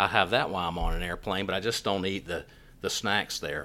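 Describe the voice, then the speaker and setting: The voice has an American accent and a bright, sharp tone at a fairly quick pace. The recording is very clean, with a silent background. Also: man. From US South, Raleigh, North Carolina. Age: 50s. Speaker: physician podcast host. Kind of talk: casual solo podcast monologue. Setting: studio.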